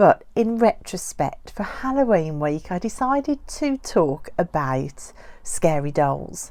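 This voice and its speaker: A woman speaks at a medium pitch with a Birmingham accent. Her tone is dark and mellow, and her pitch swings very widely. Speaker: doll collector YouTuber. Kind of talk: casual vlog talk.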